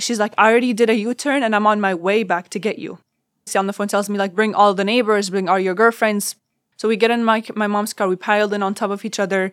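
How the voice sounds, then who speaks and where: A woman talks at a very fast pace in an Arabic accent. The recording is very clean, with a silent background. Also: medium pitch for a woman, fairly even intonation. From Syria, Damascus. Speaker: refugee and university student. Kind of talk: personal testimony.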